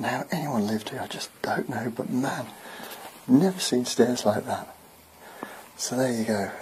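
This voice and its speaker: Whispering at a moderate pace, a man leaves long, frequent pauses amid noticeable background noise. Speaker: building surveyor. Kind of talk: casual walkthrough talk to camera. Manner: partly whispered.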